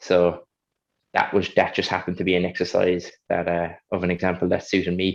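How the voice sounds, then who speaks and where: Against a quiet background, a man with a strong Kerry accent talks at a fairly quick pace in a very deep, low pitch and a monotone, flat intonation. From Ireland, County Kerry. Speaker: Paralympic high jumper. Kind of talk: panel interview.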